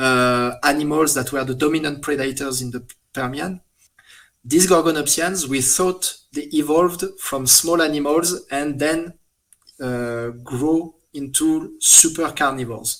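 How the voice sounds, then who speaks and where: In a French accent, a man speaks fairly slowly at a fairly high pitch with fairly even intonation. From France. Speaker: paleontologist. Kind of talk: interview. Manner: halting, many fillers.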